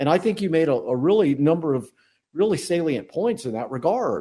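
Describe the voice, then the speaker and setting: On a very clean recording with a silent background, a man with an American accent speaks in a dark, mellow tone. His pitch is fairly high and swings very widely. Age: 60s. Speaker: podcast co-host. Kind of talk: casual chat.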